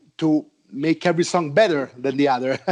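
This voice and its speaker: A man talks with an Italian accent. The background is quiet. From Italy, Rome. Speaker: heavy metal musician. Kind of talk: interview. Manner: halting, many repeated words.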